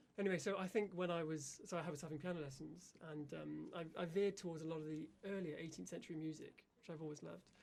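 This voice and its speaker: With hardly any pauses, a man speaks very fast in a fairly high voice with fairly even intonation. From West Country, England (Gloucester). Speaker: professional harpsichordist. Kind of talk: radio interview.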